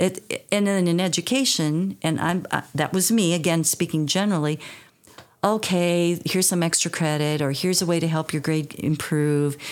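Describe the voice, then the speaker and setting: Over noticeable background noise, a woman with a fairly low-pitched voice talks at a moderate pace with fairly even intonation. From US Midwest, rural northeast Iowa. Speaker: retired teacher, youth program director. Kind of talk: podcast interview.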